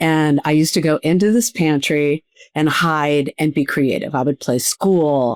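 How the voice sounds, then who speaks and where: On a very clean recording with a silent background and a dry, close sound with no echo, a woman speaks at a very deep, low pitch. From US Midwest, Cleveland, Ohio. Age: 60s. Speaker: TV producer and speaker. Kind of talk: podcast interview.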